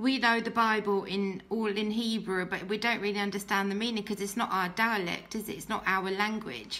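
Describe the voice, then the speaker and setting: With a British accent, a woman's fairly high voice carries a bright, sharp tone and fairly even intonation. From Britain, Pakistani family. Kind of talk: testimony. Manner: hesitant, many fillers.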